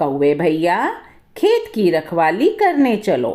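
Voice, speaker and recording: A woman's put-on character voice at medium pitch, delivered at a very slow pace. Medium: read story. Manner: brisk, encouraging.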